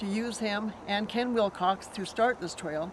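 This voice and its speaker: With noticeable background noise around her, a woman talks at a medium pitch with ordinary pitch variation. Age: 70s. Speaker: long-time trail rider. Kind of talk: interview.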